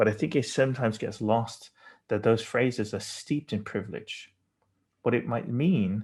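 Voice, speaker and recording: In a British accent, a somewhat breathy voice comes through on a very clean recording against a silent background. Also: man. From England. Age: 40s. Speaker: designer. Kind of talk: lecture. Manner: halting.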